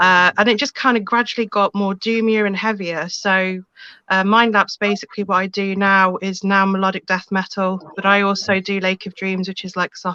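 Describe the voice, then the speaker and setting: A woman speaks in a monotone, flat intonation with a bright, sharp tone. The sound is dry and close with no echo. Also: medium pitch for a woman, moderate pace. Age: 40s. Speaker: metal singer and promoter. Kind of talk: interview on a live web show.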